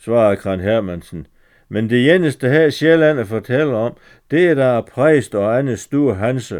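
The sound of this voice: Intonation is lively in this unforced reading voice.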